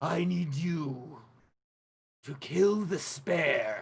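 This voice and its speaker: A raspy, put-on character voice sits at a middle pitch with audible echo. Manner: commanding, cold.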